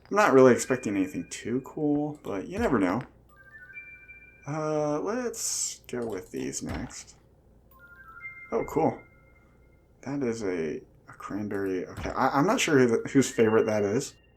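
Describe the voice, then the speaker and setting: Over music in the background, a man at medium pitch speaks at a fairly slow pace with very wide pitch swings, big swings in loudness and long, frequent pauses. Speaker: gaming let's play host. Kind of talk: casual gameplay commentary.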